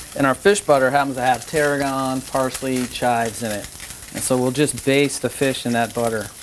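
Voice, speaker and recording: Fairly even in intonation, a man talks at a fairly quick pace with noticeable background noise. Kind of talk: tutorial. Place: kitchen. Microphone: lapel.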